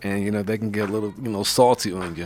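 Over music in the background, a man with an American accent talks at a very fast pace. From New York (Brooklyn). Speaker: radio host. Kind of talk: interview. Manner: animated.

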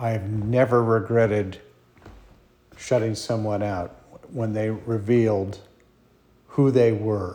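The voice is relaxed, monotone and flat in intonation. It moves at a very slow pace with long, frequent pauses. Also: man. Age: 70s. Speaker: musician and solo podcaster. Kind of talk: casual monologue. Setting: alone at home at night. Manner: relaxed, hesitant with fillers.

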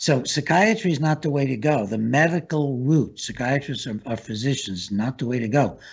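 With an American accent, a man speaks at a moderate pace in a fairly high, somewhat breathy voice with lively intonation. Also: hardly any pauses. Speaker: talk show host and psychiatrist. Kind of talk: interview. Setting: studio.

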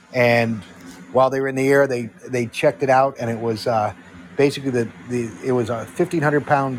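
Amid noticeable background noise, a man talks at a medium pitch with ordinary pitch variation. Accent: American. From Connecticut. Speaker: former military defense analyst. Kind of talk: casual chat.

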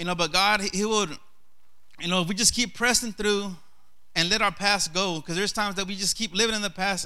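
Raising and projecting his high-pitched voice, a man talks very fast with a bright, sharp tone and fairly even intonation, in a very clean recording with a silent background. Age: 30s. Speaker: lay preacher. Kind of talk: sermon.

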